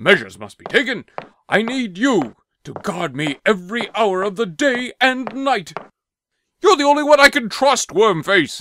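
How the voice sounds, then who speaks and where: In a very clean recording with a silent background, a man with a high pitch uses a raised, projected voice, with very wide pitch swings and big swings in loudness. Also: moderate pace. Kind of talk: comic overacting. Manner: blustering, jolly then paranoid.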